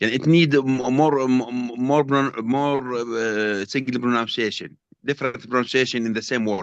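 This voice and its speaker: In a Jordanian accent, a man talks at a fairly slow pace with medium pitch and fairly even intonation. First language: Arabic. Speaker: trainee teacher. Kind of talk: class discussion. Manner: halting, stammering.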